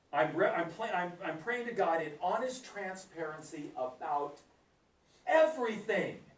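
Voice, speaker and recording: A high-pitched man at a fairly slow pace, his intonation lively, in audible room echo. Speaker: Bible teacher. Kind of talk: Bible class teaching. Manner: animated; whispering briefly.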